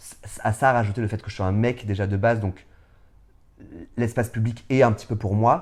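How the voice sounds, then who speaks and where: A man at medium pitch and moderate pace, with fairly even intonation, big swings in loudness, and long, frequent pauses. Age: 30s. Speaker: drag performer. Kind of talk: interview. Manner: hesitant, many fillers.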